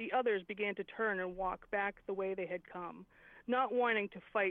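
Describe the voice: The text is read aloud plainly. Nothing more than the reading itself is heard.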